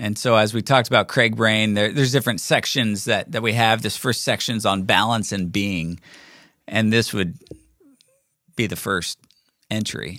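A man talks at a moderate pace with a bright, sharp tone. His pitch sits fairly low, and his intonation is fairly even. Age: 40s. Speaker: podcast host. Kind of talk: casual monologue. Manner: halting, many false starts.

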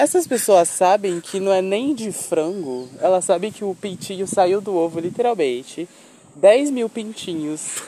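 A man speaks at a high pitch and a fairly slow pace. His intonation is lively, and there is noticeable background noise. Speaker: podcast host. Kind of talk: casual chat. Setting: outdoors.

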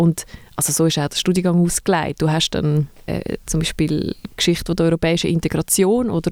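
Recorded with a dry, close sound and no echo, a woman speaks in a normal speaking voice at a fairly low pitch with fairly even intonation. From Zurich, Switzerland. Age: 30s. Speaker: museum co-director. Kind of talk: casual interview.

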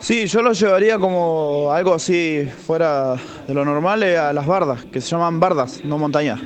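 Amid noticeable background noise and audible room echo, a man speaks at a fairly slow pace with a fairly high pitch and ordinary pitch variation. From Argentina, Neuquén. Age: 30s. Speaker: listener sending voice messages. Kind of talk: casual voice message.

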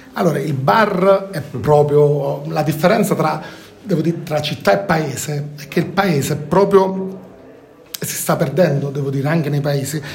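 A fairly high-pitched man at a fairly slow pace with ordinary pitch variation, plus audible room echo and noticeable background noise. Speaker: content creator. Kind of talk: casual chat.

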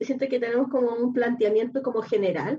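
Her voice has a dark, mellow tone. The woman speaks at a high pitch. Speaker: writer and guest panelist. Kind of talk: casual chat. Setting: remote from home.

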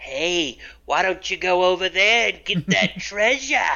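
A put-on character voice sits at a middle pitch and moves at a moderate pace. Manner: sly, scheming.

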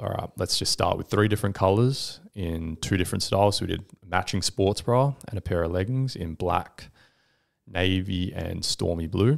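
A man with an Australian accent and fairly low pitch at a moderate pace, in a very clean recording with a silent background. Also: ordinary pitch variation. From Western Australia, Perth. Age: 20s. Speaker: entrepreneur. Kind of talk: casual interview.

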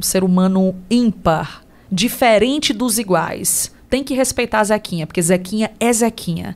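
This woman has an ordinary speaking voice with ordinary pitch variation. Her pace is fairly slow. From Ceará, Brazil (Tamboril, Inhamuns). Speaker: radio host and businesswoman. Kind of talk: casual interview.

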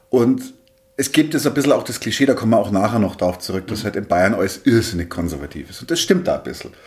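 A man rushes along at a very fast pace, his pitch swinging very widely. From Bavaria. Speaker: podcast host, interviewer. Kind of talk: interview. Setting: office room.

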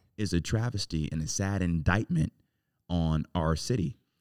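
A man with an American accent and a very deep, low pitch speaks at a moderate pace with ordinary pitch variation, in a dry, close sound with no echo. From Cleveland, Ohio (Southeast Side). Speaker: mayoral candidate. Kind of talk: interview.

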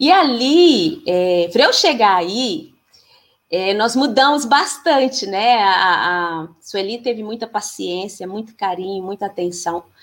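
Very slowly, a woman of medium pitch speaks with lively intonation. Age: 40s. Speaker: physical education teacher and women's circle facilitator. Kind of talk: casual interview on a live stream. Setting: live stream video call.

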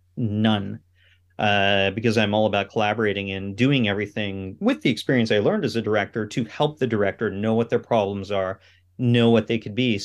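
A man with a normal speaking voice talks in a Canadian accent at a fairly low pitch. His pace is fairly quick and his intonation fairly even. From Canada, Ottawa. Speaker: cinematographer and film director. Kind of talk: interview.

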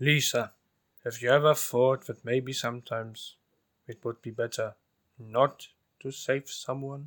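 Putting on a growling character voice, a man speaks at medium pitch and a moderate pace, with long, frequent pauses. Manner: friendly, thoughtful.

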